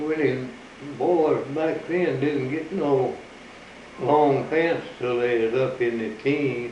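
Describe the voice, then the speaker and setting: Very slow delivery in fairly even intonation, over noticeable background noise. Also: man, fairly high pitch for a man. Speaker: rest home resident. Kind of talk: interview answer.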